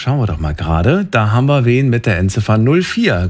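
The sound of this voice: A fast man's voice at medium pitch, slightly mellow in tone, with big pitch swings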